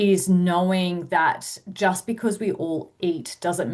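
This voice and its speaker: Against a quiet background, a woman with an Australian accent speaks at a fairly low pitch with fairly even intonation. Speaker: sports dietitian. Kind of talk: webinar presentation. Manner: fast.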